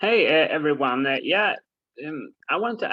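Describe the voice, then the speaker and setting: With a non-native accent, the man talks. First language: not English. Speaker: course participant. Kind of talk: question in group call. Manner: halting.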